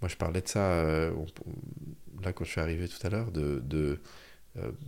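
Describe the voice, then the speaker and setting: A man with a very deep, low voice speaks at a moderate pace with ordinary pitch variation, on a very clean recording with a silent background. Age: 40s. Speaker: author and speaker on happiness. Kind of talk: casual chat. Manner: halting.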